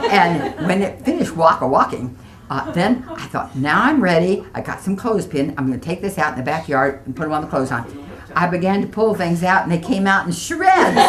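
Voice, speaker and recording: A woman with a fairly low voice speaks fairly quickly amid noticeable background noise. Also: lively intonation. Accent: American. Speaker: retired real estate broker. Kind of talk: interview answer.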